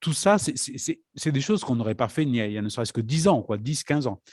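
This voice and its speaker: On a very clean recording with a silent background and a dry, close sound with no echo, a man talks at a very fast pace with a medium pitch and very wide pitch swings. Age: old. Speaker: conference moderator. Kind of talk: conference talk. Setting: parish hall conference.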